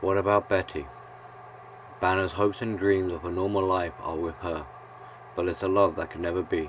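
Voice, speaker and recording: Amid noticeable background noise, a man with a very deep, low pitch speaks at a moderate pace, with fairly even intonation and long, frequent pauses. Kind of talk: reflective video essay narration. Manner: calm, soft-spoken; monotone.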